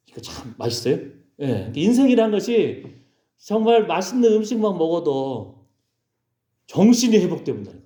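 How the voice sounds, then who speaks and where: With audible room echo, a man speaks at a moderate pace in a high, dark, mellow voice, his pitch swinging very widely and his loudness swinging a lot, broken by long, frequent pauses. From South Korea, Gwangju, Seoul and Jeonju. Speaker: pastor. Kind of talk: sermon. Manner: animated.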